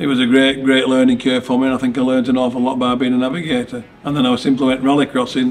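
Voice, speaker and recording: A man speaks at a very fast pace in a Lancashire accent. His monotone, flat intonation comes through noticeable background noise. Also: medium pitch for a man. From northern England, Lancashire. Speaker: rallycross driver. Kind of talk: interview answers. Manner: casual, with fillers and false starts.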